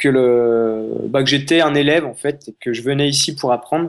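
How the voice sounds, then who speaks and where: This man has an unremarkable speaking voice. His pitch is fairly high and his intonation fairly even. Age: 20s. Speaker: travel photographer. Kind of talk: interview conversation.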